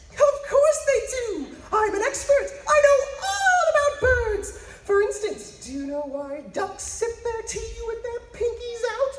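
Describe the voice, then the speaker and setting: A man uses a put-on character voice with an extremely high pitch. He speaks fairly slowly with hardly any pauses, over clear background noise. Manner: excitable, fussy.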